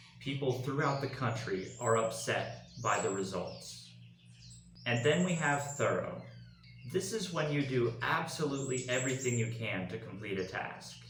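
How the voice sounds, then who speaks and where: In a Southern US accent, a man speaks at a moderate pace with a medium pitch and ordinary pitch variation. Noticeable background noise runs underneath. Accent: Southern American English. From Arkansas, USA. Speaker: English pronunciation teacher. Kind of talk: pronunciation tutorial talk to camera. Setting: home recording with background noise.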